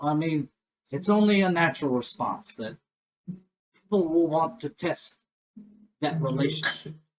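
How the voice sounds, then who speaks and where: A man puts on a gravelly character voice, pitched fairly high, at a moderate pace with ordinary pitch variation. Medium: actual play. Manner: blunt, folksy.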